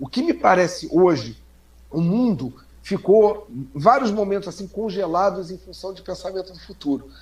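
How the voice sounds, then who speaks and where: Man's high voice with lively intonation, big swings in loudness, and a moderate pace. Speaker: social media commentator. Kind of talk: casual chat. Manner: animated.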